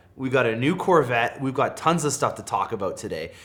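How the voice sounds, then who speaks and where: With a Canadian accent, a man speaks at a fairly high pitch. His intonation is lively. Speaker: car dealership employee and automotive YouTuber. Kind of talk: casual video intro and interview. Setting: studio set. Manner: enthusiastic, with filler words.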